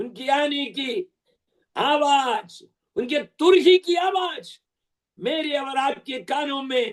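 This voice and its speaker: A man talks at an extremely high pitch. His intonation is lively. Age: 70s. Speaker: preacher. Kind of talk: sermon.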